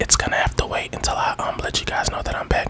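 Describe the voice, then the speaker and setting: A man whispers at a very fast pace. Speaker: gaming ASMR YouTuber. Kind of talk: casual gameplay commentary. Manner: casual, chatty.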